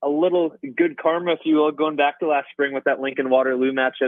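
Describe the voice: A man talks at a fairly quick pace with little pitch movement. The sound is dry and close, with no echo.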